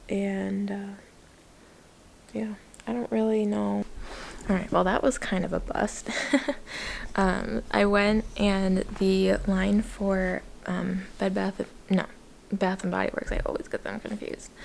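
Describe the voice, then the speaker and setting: A soft-spoken woman at a fairly slow pace, with long, frequent pauses and noticeable background noise. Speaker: vlogger. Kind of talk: casual vlog talk. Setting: at home.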